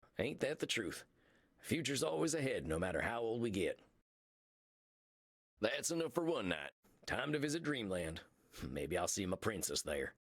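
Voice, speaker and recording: A man puts on a character voice at a medium pitch, drawling at a moderate pace with long, frequent pauses. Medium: video game. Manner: folksy, slow drawl.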